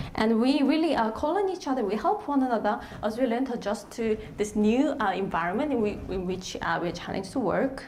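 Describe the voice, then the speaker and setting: A woman with a Korean accent speaks at a fairly quick pace, her fairly high voice carrying lively intonation. Noticeable background noise and audible room echo fill the recording. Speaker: lecturer. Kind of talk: panel presentation. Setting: stage with audience. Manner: halting.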